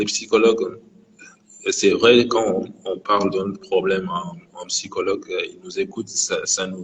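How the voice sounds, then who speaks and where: Speaking very slowly, a man is heard against noticeable background noise. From Mauritania. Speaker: guest sharing his experience of depression. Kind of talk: live interview testimony. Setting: Instagram live. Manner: halting, many hesitations and repetitions.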